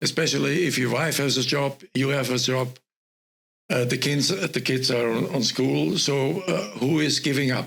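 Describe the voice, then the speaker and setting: There is vocal fry in this man's medium-pitched voice, with ordinary pitch variation. He talks at a moderate pace with very even loudness. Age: 80s+. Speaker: professor and former CEO. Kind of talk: interview answer.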